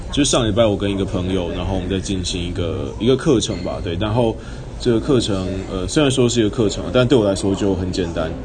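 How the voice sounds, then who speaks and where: At a very fast pace, a man speaks at a fairly low pitch with ordinary pitch variation, with audible room echo and noticeable background noise. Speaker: solo podcaster. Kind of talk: casual monologue. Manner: hesitant, many fillers.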